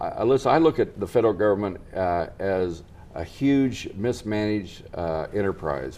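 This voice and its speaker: The speaker is a man with an American accent. His tone is dark and mellow. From Nebraska, US Midwest. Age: 60s. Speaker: political candidate. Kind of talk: TV news interview.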